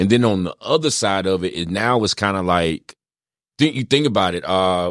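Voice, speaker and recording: Speaking in an ordinary speaking voice with an American accent, a man talks at a fairly quick pace with fairly low pitch and lively intonation, recorded very cleanly against a silent background with a dry, close sound and no echo. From rural North Carolina. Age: 30s. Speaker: former pro athlete and coach. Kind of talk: radio interview, casual chat. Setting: studio.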